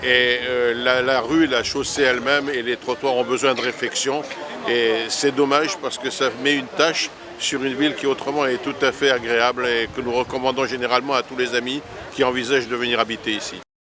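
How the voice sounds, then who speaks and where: Amid noticeable background noise, a man of medium pitch talks at a moderate pace in a monotone, flat delivery. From Paris, France. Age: 70s. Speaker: retired immigrant resident. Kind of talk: interview testimony.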